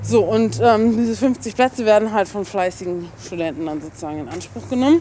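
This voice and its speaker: Over noticeable background noise, a woman with a medium pitch talks at a fairly quick pace, her pitch swinging very widely and her loudness shifting a lot. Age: 20s. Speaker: medical student. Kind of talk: casual interview. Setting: outdoors.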